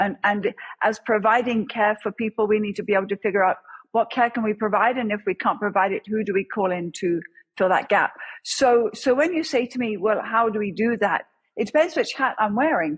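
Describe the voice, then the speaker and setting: A woman with an English accent speaks at a moderate pace and fairly high pitch, with ordinary pitch variation. Her somewhat breathy voice sounds dry and close, with no echo. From England. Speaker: crisis response chaplain, former police officer. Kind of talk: interview.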